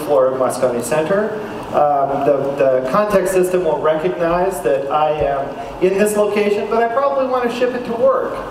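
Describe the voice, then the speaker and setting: A man speaks with a high pitch. There is light background noise and audible room echo. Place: hall.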